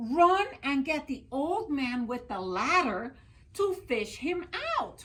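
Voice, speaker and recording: A put-on character voice, delivered at a very slow pace. The pitch swings very widely. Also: woman, high pitch for a woman. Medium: read story.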